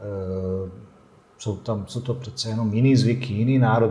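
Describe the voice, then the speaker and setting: At a moderate pace, a man speaks with a medium-pitched, dark, mellow tone that is somewhat breathy, his intonation fairly even, with audible room echo. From Bosnia and Herzegovina. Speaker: coffee expert, café owner. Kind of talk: interview.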